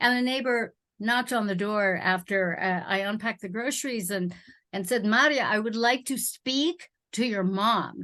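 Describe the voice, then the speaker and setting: A woman speaks at a moderate pace with a medium pitch and ordinary pitch variation. Her tone is bright and sharp, and the background is quiet. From immigrated to America as a child. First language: not English. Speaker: spiritual guest. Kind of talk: casual chat.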